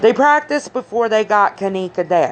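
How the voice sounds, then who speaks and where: Noticeable background noise sits behind a woman speaking in an animated tone. Her pitch swings very widely. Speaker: commentary vlogger. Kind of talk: casual vlog commentary. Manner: halting.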